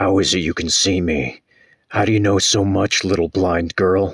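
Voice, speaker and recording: A put-on character voice from a man, raspy and very deep, low in pitch, at a moderate pace with fairly even intonation and a dry, close sound with no echo. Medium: read story. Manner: intense, anguished.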